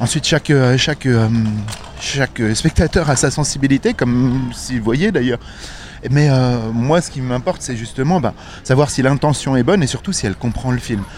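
A man talks with ordinary pitch variation and long, frequent pauses. Noticeable background noise is present. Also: medium pitch for a man, moderate pace. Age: 40s. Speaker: audio describer. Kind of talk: interview. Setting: outdoors.

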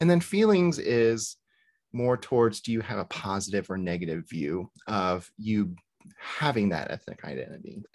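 A man with an American accent, a fairly low pitch and very wide pitch swings. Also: moderate pace. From US South. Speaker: podcast host, therapist. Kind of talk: casual chat.

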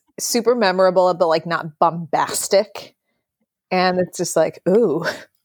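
A woman talks with an American accent in an ordinary speaking voice, medium in pitch, at a moderate pace. The recording is very clean with a silent background, dry and close with no echo. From US Midwest, Wisconsin. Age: 20s. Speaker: butcher. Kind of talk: casual chat.

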